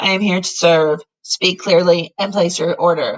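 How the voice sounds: A female-sounding, put-on character voice sits at a middle pitch. It comes across raspy and robotic. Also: moderate pace.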